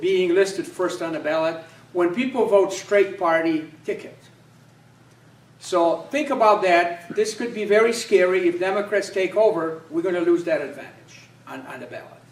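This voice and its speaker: A man with a Polish accent talks at a moderate pace and a high pitch, with ordinary pitch variation. His loudness swings widely. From Poland. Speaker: political candidate. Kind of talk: campaign speech. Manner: halting, many fillers.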